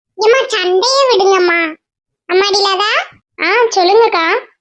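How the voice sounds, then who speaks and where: In a cartoonish character voice, a woman talks at a moderate pace with extremely high pitch. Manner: soothing, motherly.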